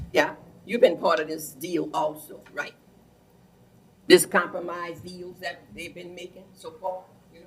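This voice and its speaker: In a south Louisiana accent, a woman speaks slowly at a fairly low pitch, her flat, monotone delivery marked by long, frequent pauses and big swings in loudness. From Louisiana, Plaquemines Parish. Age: 80s+. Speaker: resident speaking at public meeting. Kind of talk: public comment at council meeting. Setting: council meeting room with PA mic. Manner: halting.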